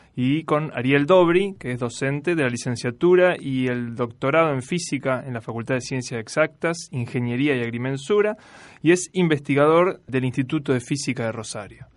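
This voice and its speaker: A plain, everyday voice speaks at a moderate pace with hardly any pauses and ordinary pitch variation. The background is quiet. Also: man, fairly high pitch for a man. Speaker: radio host and university lecturer. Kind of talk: casual chat.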